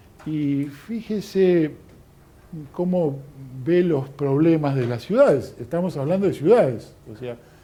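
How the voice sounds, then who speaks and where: A man's fairly high-pitched voice, dark and mellow in tone, with ordinary pitch variation. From Argentina. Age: 60s. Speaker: lecturer. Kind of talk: lecture. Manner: hesitant, many fillers.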